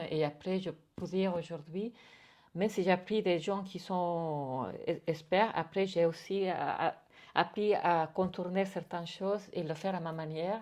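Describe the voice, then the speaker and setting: A woman speaks with a Spanish accent at a fairly slow pace, her pitch fairly low. Her intonation stays fairly even over a quiet background. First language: Spanish (speaking French). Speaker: artist and bookbinding teacher. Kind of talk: interview. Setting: artist's studio. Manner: halting, many repetitions and hesitations.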